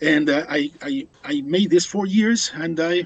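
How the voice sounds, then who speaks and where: A man speaks at a very slow pace in a Spanish accent. His pitch varies in an ordinary way. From Uruguay. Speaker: biology professor. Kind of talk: interview. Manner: halting.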